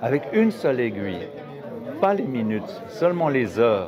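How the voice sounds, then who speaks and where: A man speaks at a medium pitch with lively intonation. Crowd noise and audible room echo fill the recording. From Geneva, Switzerland. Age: 60s. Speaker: watchmaker. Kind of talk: interview. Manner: halting.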